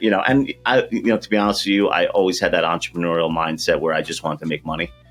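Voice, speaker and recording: A man with a Long Island accent speaks over a quiet background. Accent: Long Island New York. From Long Island, New York. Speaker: accounting firm owner. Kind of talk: podcast interview. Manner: casual, many fillers.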